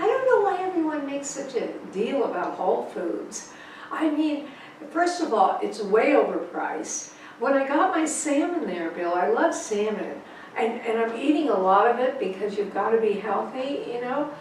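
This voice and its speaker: Very wide pitch swings amid noticeable background noise and audible room echo. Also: woman. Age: 80s+. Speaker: author. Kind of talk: casual chat. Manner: animated.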